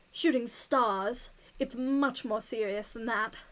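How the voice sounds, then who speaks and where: A female-sounding voice puts on a character voice in a British accent, pitched high and moving at a fairly slow pace. The recording is very clean, with a silent background. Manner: haughty.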